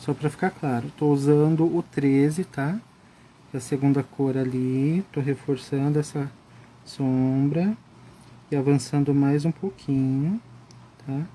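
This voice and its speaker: A man's fairly high, calm voice at a very slow pace, fairly even in intonation, with long, frequent pauses. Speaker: art instructor. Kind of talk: live coloring tutorial. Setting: Instagram live stream.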